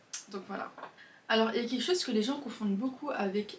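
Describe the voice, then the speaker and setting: Against noticeable background noise, the speech runs at a fairly quick pace with fairly even intonation. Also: woman. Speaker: self-improvement youtuber. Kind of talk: casual monologue. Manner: fast.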